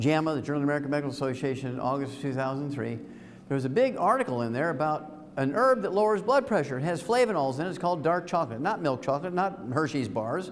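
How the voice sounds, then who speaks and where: Speaking very fast, a man sounds animated, with lively intonation. Room echo is audible. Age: 70s. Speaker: health supplement speaker. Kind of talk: seminar talk to live audience. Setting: room with live audience.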